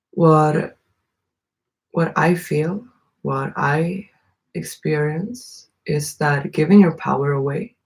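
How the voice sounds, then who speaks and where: Somewhat breathy and very deep in pitch, a woman speaks at a very slow pace with long, frequent pauses. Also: ordinary pitch variation. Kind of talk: casual monologue.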